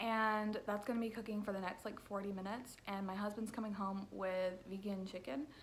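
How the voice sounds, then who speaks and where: Amid audible room echo and noticeable background noise, a woman talks at medium pitch with fairly even intonation and hardly any pauses. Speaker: book vlogger. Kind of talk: casual vlog. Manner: casual, filler-heavy.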